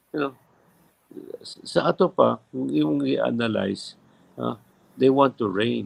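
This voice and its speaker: A man speaks with a Visayan Filipino accent. His pitch swings very widely. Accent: Filipino (Cebuano) English. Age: 70s. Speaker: former mayor, politician. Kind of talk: live interview.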